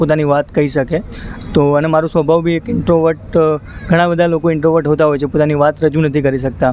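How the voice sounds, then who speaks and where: A man speaks at a fairly high pitch in a monotone, flat delivery. The sound is dry with no echo, and there is light background noise. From North Gujarat, India. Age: 20s. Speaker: volunteer listener, social campaign founder; interviewee. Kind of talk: interview. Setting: outdoors under a bridge. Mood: reflective, calm. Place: street. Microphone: handheld.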